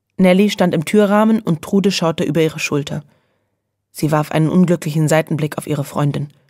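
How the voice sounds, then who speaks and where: A plain, everyday voice from a woman, fairly low in pitch, with ordinary pitch variation and a fairly quick pace. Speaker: audiobook narrator. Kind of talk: children's audiobook reading.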